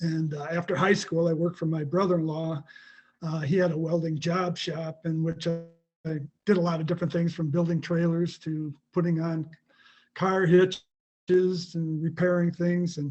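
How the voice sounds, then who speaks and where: A man with a high voice speaks in a flat monotone. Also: moderate pace. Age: 70s. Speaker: welding instructor. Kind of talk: panel discussion.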